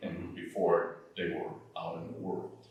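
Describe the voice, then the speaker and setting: Noticeable background noise surrounds a man who talks very slowly. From Nigeria, then Michigan and Connecticut from age 10. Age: 60s. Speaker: retired corporate lawyer. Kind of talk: oral history interview answer.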